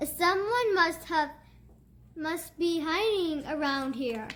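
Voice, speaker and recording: A put-on character voice at a very slow pace, full of lively intonation. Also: woman, extremely high pitch for a woman. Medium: read story.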